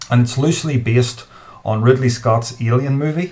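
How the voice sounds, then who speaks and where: Ordinary pitch variation in a man's voice. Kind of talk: tutorial. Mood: enthusiastic, amused. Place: home room. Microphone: webcam.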